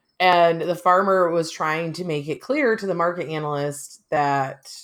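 Fairly slow and fairly low, a woman uses an ordinary speaking voice with fairly even intonation. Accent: American. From US Midwest, small town. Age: 30s. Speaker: podcast host, farm wife. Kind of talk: casual chat.

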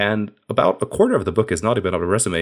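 A very fast-talking man with a fairly low pitch. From Hungary. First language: Hungarian. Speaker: software engineering manager and author. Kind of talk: casual interview.

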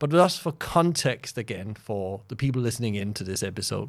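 At a fairly quick pace, a man with a Danish accent talks at medium pitch. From Denmark. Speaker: podcast host. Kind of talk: interview conversation.

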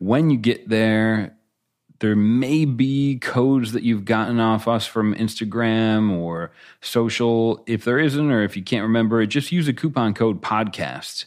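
In a very clean recording with a silent background, a man talks in a normal speaking voice. His pitch is medium with ordinary variation, and his pace is fairly slow. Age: 30s. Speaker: beer podcast co-host. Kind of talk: casual chat.

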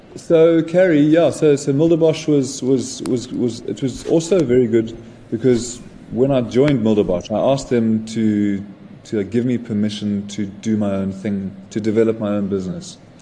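Delivery has lively intonation, big swings in loudness and a moderate pace. Noticeable background noise can be heard. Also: man, medium pitch for a man. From South Africa, Johannesburg. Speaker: winemaker. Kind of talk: interview.

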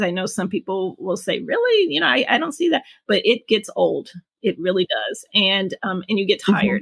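A normal speaking voice from a woman at medium pitch, with lively intonation and a moderate pace. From Detroit, Michigan, US Midwest. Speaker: parent, writer. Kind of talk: interview.

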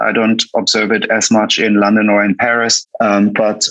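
Speaking at a moderate pace, a man with a German accent talks at medium pitch. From Germany. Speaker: coffee roaster and cafe founder. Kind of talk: casual interview.

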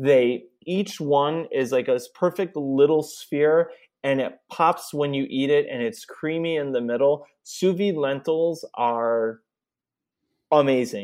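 Against a quiet background, a man with an American accent and a fairly high pitch talks at a very slow pace with ordinary pitch variation. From Chicago area. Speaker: chef and product specialist. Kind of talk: casual interview.

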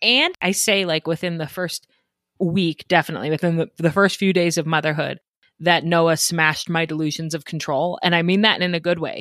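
A woman with an American accent speaks at a fairly quick pace in a fairly low pitch. The sound is dry and close with no echo, on a very clean recording with a silent background. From Colorado, Denver suburbs. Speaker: podcast host for moms. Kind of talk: casual interview and storytelling. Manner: animated, laughing.

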